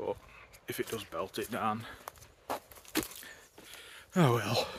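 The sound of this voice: At a slow pace, a man talks with a fairly low pitch, a fairly bright tone, a slightly husky edge and ordinary pitch variation.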